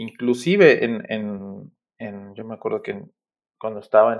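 A man is speaking here. His pace is moderate. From Mexico, Aguascalientes. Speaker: graphic designer. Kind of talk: casual interview. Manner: halting, many repetitions.

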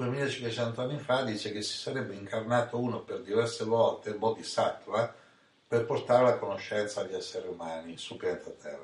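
The man's loudness rises and falls in big swings. His pace is moderate. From Italy, Ancona (Marche). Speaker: spiritual teacher. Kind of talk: storytelling chat.

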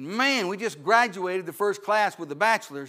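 A man's raised, projected voice, high-pitched and bright and sharp in tone, with ordinary pitch variation on a very clean recording with a silent background. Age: 60s. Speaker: missionary evangelist. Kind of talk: sermon. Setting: church. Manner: animated.

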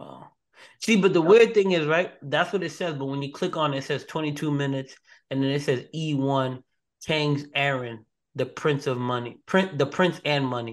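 A man with a plain, everyday voice talks at a moderate pace in a fairly high pitch, with ordinary pitch variation and a quiet background. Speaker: podcast host and ring announcer. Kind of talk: casual banter opening with a hyped ring-announcer bit.

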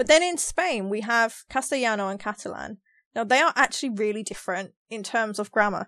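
A bright, sharp tone in a London accent, with lively intonation at a fairly quick pace, dry and close with no echo, over a quiet background. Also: woman, fairly high pitch for a woman. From London, England. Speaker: podcast co-host. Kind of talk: casual chat. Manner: animated.

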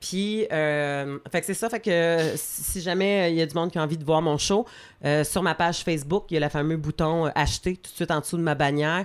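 A woman's intonation stays fairly even while she talks at a moderate pace. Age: 40s. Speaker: comedian. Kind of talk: casual chat.

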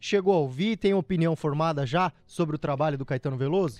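Recorded dry and close with no echo against a quiet background, a man talks at a moderate pace in an animated tone with lively intonation. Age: 20s. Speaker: radio host. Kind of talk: radio show.

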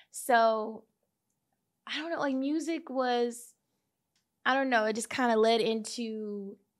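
The speaker has an American accent and a bubbly, animated tone with ordinary pitch variation. The recording is very clean, with a silent background. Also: woman. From Kansas City, US. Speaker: podcaster. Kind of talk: casual interview chat. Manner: bubbly, loud, animated.

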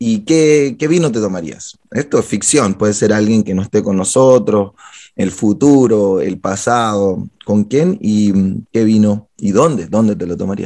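A man's fairly low voice, dark and mellow in tone, with hardly any pauses. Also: ordinary pitch variation, fairly slow pace. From Chile. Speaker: podcast host, publicist. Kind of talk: casual interview.

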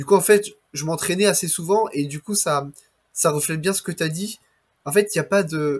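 This man has a high pitch and ordinary pitch variation, speaking at a moderate pace with long, frequent pauses. The recording is very clean, with a silent background. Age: 20s. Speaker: entrepreneur podcast host. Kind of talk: interview.

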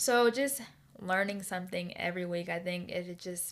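A woman speaks with a medium pitch. Her tone is animated. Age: 20s. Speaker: podcast host. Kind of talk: casual solo podcast monologue. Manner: fast talker; animated, laughs often.

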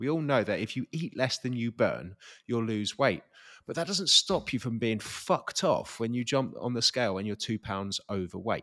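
In a very clean recording with a silent background and a dry, close sound with no echo, a man speaks at medium pitch and a moderate pace with lively intonation. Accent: English. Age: 30s. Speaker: podcast co-host. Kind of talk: casual chat.

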